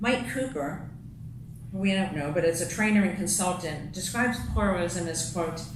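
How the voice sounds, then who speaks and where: A woman talks with lively intonation. There is noticeable background noise and audible room echo. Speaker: lay speaker giving a talk at a congregation. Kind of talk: sermon-style talk read from paper.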